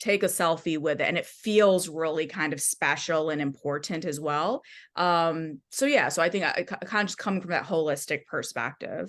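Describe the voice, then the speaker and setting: Against a quiet background, a woman with a Midwestern accent speaks at a fairly low pitch and a moderate pace, with hardly any pauses. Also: ordinary pitch variation. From US Midwest, Michigan. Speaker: music journalist and author. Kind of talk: podcast interview.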